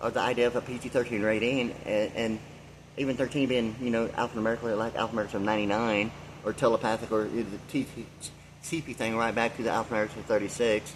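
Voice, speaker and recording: At a very fast pace, a man speaks at medium pitch with monotone, flat intonation. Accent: American. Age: 60s. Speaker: vlogger. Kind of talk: rambling monologue. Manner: halting, many fillers.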